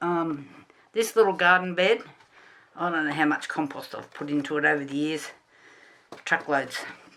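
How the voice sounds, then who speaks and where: A woman mumbles with an Australian accent at a fairly low pitch. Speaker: gardening YouTuber. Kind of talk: tutorial. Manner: mumbling; casual, many fillers.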